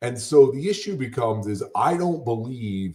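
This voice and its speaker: A man with an American accent speaks at a fairly slow pace in a dark, mellow tone at medium pitch. His voice is somewhat breathy, with very wide pitch swings. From Connecticut. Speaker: wealth adviser. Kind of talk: interview conversation. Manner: hesitant, with fillers.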